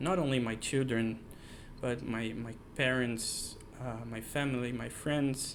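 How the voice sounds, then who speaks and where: In a South American accent, a man speaks at a fairly slow pace with a medium pitch. His pitch varies in an ordinary way, and room echo is audible. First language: not English. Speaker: software engineer, channel creator. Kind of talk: personal monologue to camera. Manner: halting, many fillers and restarts.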